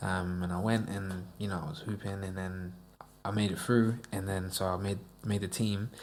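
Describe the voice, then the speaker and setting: A very deep, low-pitched male voice at a moderate pace, with audible room echo. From US, Florida (Davenport), moved to England as a child. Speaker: musician. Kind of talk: casual chat. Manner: animated.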